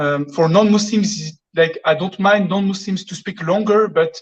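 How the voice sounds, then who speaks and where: A woman's somewhat breathy medium-pitched voice, fairly slow in pace, with fairly even intonation. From France. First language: French. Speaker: caller. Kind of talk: asking a question on a live call-in. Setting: phone call. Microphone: echo on phone line.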